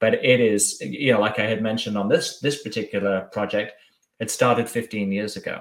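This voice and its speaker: Speaking at a fairly quick pace, a man with an English accent keeps a medium pitch and fairly even intonation. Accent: English accent still audible. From southwest England, Bath. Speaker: packaging business development director. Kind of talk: casual interview chat. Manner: hesitant, many fillers.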